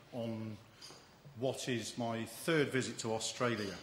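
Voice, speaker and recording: A man with an English accent speaks at a medium pitch. There is audible room echo and noticeable background noise. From England. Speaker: agricultural economist. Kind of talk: speech.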